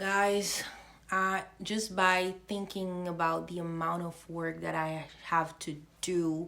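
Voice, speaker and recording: Delivered at a very slow pace, the speech is monotone and flat, with audible room echo. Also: woman, fairly low pitch for a woman. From Haiti. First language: French and Haitian Creole. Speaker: faith vlogger. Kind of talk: casual faith vlog monologue. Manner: halting, stumbles over words.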